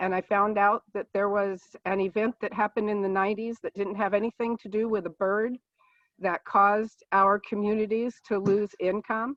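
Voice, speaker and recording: A woman speaks at a moderate pace with a medium pitch. Her intonation is flat and monotone. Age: 60s. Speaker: political candidate, nurse. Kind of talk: candidate forum opening statement. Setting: video call.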